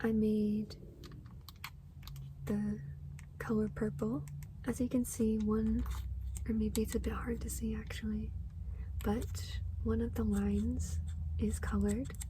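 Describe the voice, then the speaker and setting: Soft-spoken delivery at a fairly slow pace, with long, frequent pauses. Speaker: ASMR gaming content creator. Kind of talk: ASMR tapping and scratching video, soft spoken show-and-tell. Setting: lofi, low quality ASMR recording.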